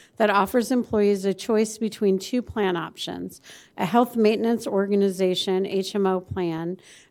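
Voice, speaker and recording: This is an unremarkable speaking voice: a woman of medium pitch with an American accent and fairly even intonation. She talks at a moderate pace on a very clean recording with a silent background. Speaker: mayor chairing council meeting. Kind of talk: formal public meeting procedure. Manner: formal.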